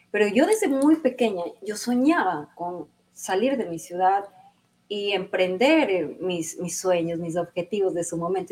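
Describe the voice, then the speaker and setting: A woman is speaking. Her pitch swings very widely. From Ecuador, Santo Domingo. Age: 40s. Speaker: lawyer and TV presenter. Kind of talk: interview.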